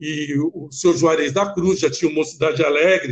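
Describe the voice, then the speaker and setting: A man talks at a fairly slow pace in a high voice. His pitch varies in an ordinary way. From Brazil, São Paulo (Vila Mariana). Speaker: samba dancer and dance coach. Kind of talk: radio interview. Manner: halting, repeats words.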